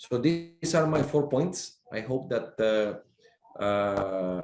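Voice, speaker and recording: A man's medium-pitched voice, dark and mellow in tone, with a Spanish accent. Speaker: sea captain and maritime official. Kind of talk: panel discussion. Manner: halting, many fillers.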